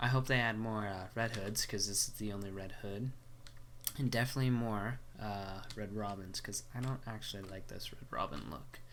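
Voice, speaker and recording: The speaker talks at a moderate pace with ordinary pitch variation, and some room echo can be heard. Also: man, fairly low pitch for a man. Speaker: gaming youtuber. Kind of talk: game map showcase commentary. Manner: casual, filler-heavy.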